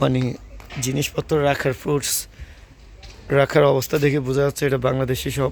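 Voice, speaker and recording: The loudness stays very even throughout. The intonation is flat and monotone. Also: man, fairly high pitch for a man. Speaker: travel vlogger. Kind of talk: walking travel vlog narration. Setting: outdoors on a street. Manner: halting.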